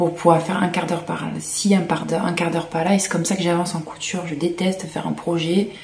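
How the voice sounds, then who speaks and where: Soft-spoken and fairly low in pitch, a woman talks very fast in a monotone, flat intonation amid audible room echo and noticeable background noise. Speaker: sewing vlogger. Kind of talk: casual vlog talk to camera.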